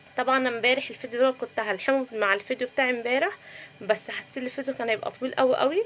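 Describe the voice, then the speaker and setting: A woman's high voice races at a very fast pace, its pitch varying in an ordinary way. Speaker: cooking vlogger. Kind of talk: cooking vlog narration. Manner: subdued.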